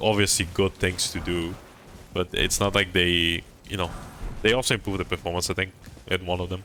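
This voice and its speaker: A mumbling man's voice, very deep and low, with fairly even intonation and long, frequent pauses. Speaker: gaming streamer. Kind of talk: live stream commentary. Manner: halting.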